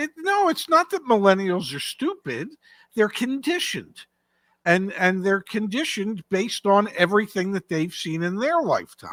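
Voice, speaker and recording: With very wide swings in pitch, the voice moves at a moderate pace in a dry, close sound with no echo. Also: woman, medium pitch for a woman. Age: 70s. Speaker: car market commentator. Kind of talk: casual chat.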